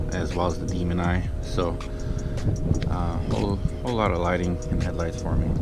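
Music plays behind a man speaking. The sound is dry, with no echo. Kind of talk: casual vlog walkaround. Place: street. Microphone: phone near.

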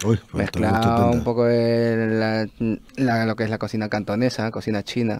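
The delivery is monotone and flat, with hardly any pauses, in a dry sound with no echo. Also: man, medium pitch for a man, moderate pace. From Peru. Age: 30s. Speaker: chef and restaurant owner; interview guest. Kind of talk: radio interview. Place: studio. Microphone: studio mic.

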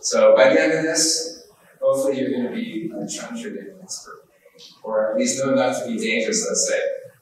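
A man's fairly quick speech comes through audible room echo and noticeable background noise. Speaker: trend-following trader. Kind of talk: conference workshop presentation. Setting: live event with audience, live-streamed.

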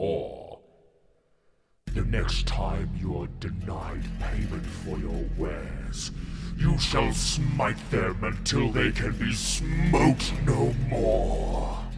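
A man's raspy put-on character voice, very deep and low, at a very slow pace, with music in the background and audible echo. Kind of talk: grandiose mock-epic voice over. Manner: pompous, condescending, escalating to menacing.

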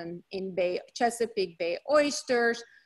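A woman's fairly high voice in a Hungarian accent, at a fairly slow pace against a quiet background. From Hungary. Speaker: dermatologist. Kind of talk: lecture. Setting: video call.

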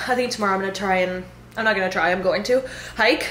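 A woman talks at a fairly quick pace. Audible room echo surrounds her voice. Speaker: fitness coach vlogger. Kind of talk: casual vlog chat. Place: home room. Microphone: phone near.

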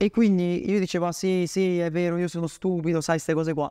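Words come out at a very fast pace with a dark, mellow tone. The background is quiet. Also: man. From Bolzano, northern Italy; northern Italy. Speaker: email marketing agency owner; podcast guest. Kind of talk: interview. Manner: halting. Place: home room.

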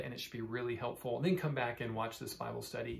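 Light background noise behind a man speaking with ordinary pitch variation. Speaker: church pastor. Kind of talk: bible study teaching talk. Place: office. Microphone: phone near.

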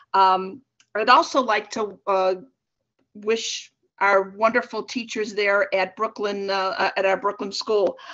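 A woman speaks very slowly with an American accent and ordinary pitch variation against a quiet background. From US Midwest. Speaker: city council member. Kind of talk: council report. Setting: video call. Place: home room. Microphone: video call.

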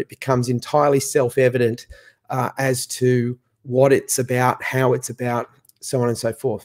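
The very clean recording, with a silent background, captures a man at medium pitch. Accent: Australian. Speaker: association chief executive.

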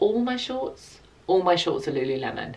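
A woman talks at a medium tempo. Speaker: lifestyle vlogger. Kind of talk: casual vlog chat. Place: home room.

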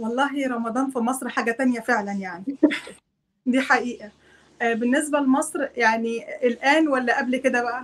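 A woman speaks with an Egyptian accent at a moderate pace. Her pitch is high, with ordinary variation. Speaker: homemaker and YouTuber. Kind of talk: casual chat. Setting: video call. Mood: warm, smiling. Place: home room. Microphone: video call.

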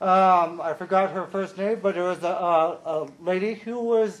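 A loud, high male voice at a fairly slow pace with ordinary pitch variation. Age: 40s. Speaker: consumer advisory committee liaison. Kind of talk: public meeting report.

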